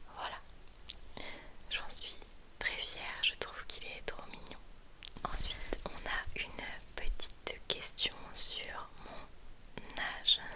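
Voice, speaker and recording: A woman whispering at a very slow pace, with big swings in loudness, long, frequent pauses and noticeable background noise. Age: 30s. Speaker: ASMR content creator. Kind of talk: ASMR whispered chat. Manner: whispered, soft, slow, intimate.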